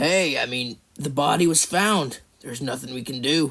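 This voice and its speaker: Putting on a raspy character voice, a man speaks with a fairly high pitch. His pace is moderate and his pitch variation ordinary. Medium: cartoon. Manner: dramatic.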